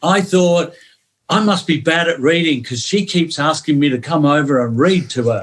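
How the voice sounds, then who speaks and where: Here a man talks with an English accent. His pitch is fairly high, with ordinary variation. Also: moderate pace, very clean recording, silent background. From northern England, St Helens near Manchester, moved to Melbourne at 11. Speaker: former football player. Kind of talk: podcast interview. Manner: animated.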